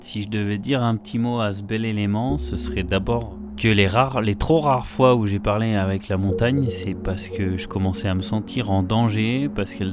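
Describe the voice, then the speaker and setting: A man at a moderate pace with ordinary pitch variation, audible room echo and music in the background. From France, Savoie (Alps). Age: 30s. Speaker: professional skier and filmmaker. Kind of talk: interview monologue. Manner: hesitant, with frequent fillers.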